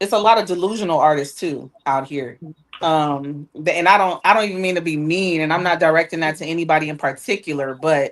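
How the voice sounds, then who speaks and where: A woman with an American accent speaks at a fairly quick pace in a normal speaking voice. Her pitch is fairly low, with ordinary variation. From Inglewood, California, US West Coast. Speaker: R&B singer, talk show guest. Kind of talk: casual talk show chat.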